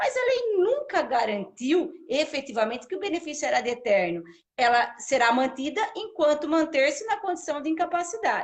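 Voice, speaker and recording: At a moderate pace with hardly any pauses, the speaker uses very wide pitch swings and a São Paulo interior accent. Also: woman, high pitch for a woman. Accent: Piracicaba interior accent with retroflex R. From Brazil, Piracicaba in São Paulo state. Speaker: social security law professor. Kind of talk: live interview, explaining law.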